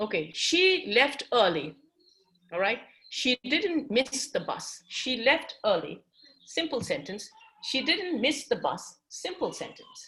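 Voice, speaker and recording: Speaking fairly slowly with a Tibetan accent, a woman uses a high pitch that swings very widely. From Tibetan community. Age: 50s. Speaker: English teacher. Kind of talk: classroom lecture. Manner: switches between English and Tibetan.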